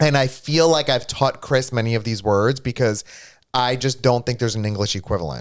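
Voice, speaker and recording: Ordinary pitch variation at a fairly quick pace, on a very clean recording with a silent background. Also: man, medium pitch for a man. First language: Greek. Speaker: streamer co-host. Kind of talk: casual chat. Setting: live stream.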